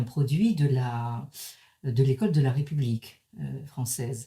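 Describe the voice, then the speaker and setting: This woman has a very deep, low pitch and a somewhat breathy, dark, mellow tone. She speaks at a very slow pace. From Paris, France. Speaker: professor. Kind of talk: lecture. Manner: halting, many hesitations.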